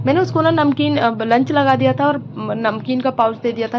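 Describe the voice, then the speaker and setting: Noticeable background noise sits behind the recording. Over it, a woman talks at a fairly high pitch. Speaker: housewife vlogger. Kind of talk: casual vlog monologue.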